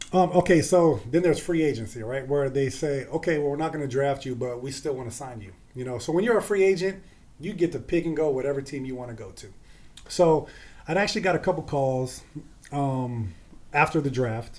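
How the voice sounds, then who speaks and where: A plain, everyday voice with an American accent talks at a fairly quick pace with ordinary pitch variation. Loudness swings widely from moment to moment. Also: man, fairly high pitch for a man. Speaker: former pro football player. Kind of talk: podcast interview.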